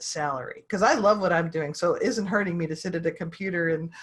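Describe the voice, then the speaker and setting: Ordinary variation in pitch from a woman, her voice somewhat breathy. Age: 60s. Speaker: online publishing consultant. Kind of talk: interview.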